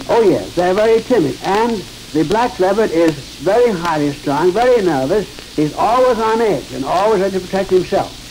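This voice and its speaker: The pace is moderate. Light background noise can be heard. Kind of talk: interview answer. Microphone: old recording.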